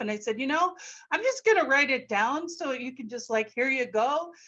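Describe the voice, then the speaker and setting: A woman speaks high-pitched with ordinary pitch variation. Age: 60s. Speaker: elementary music teacher and author. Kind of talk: webinar presentation. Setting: video call.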